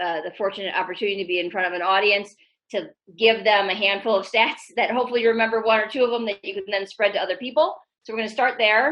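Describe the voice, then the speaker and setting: A woman talks at a very fast pace in a fairly high voice. Her pitch varies in an ordinary way. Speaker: tech executive. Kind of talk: presentation. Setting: video call.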